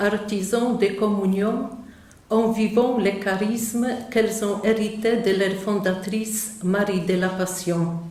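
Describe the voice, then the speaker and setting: Amid noticeable background noise and audible room echo, a woman with a Polish accent speaks at a fairly high pitch and a very slow pace with monotone, flat intonation. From Poland. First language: Polish (speaking French). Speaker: nun, missionary. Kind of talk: conference talk. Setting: conference hall with audience.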